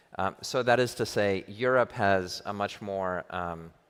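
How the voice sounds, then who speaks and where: On a very clean recording with a silent background, a man with an American accent and a normal speaking voice speaks at a fairly low pitch with fairly even intonation. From US, New York. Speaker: crypto venture investor. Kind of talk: conference panel discussion.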